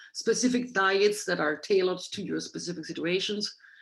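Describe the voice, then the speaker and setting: There is audible room echo on this clip. A woman speaks at a medium pitch. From Germany. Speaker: Ayurveda doctor, guest lecturer. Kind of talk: lecture. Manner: fast.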